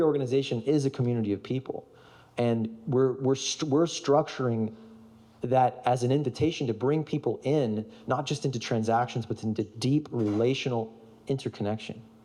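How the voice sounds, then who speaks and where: Here a man speaks at medium pitch in a dark, mellow tone, with ordinary pitch variation. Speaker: speaker on storytelling and regenerative organizing. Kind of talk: conference talk with audience participation. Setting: stage with audience. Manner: fast; animated.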